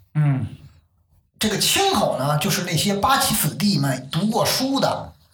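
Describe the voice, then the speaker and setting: Audible room echo surrounds a man's high-pitched voice as he speaks at a fairly slow pace with very wide pitch swings. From Beijing. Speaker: crosstalk enthusiast. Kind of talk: casual chat.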